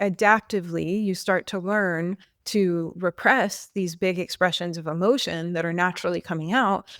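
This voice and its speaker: A woman with a fairly low pitch speaks at a moderate pace in fairly even intonation. The sound is dry and close with no echo, on a very clean recording with a silent background. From United States. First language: not English. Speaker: podcast co-host. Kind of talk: podcast discussion.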